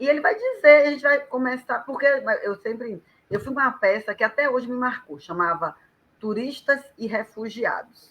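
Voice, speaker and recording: Delivered at a moderate rate, the speech carries lively intonation. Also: woman, high pitch for a woman. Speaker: professional storyteller. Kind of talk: casual live chat.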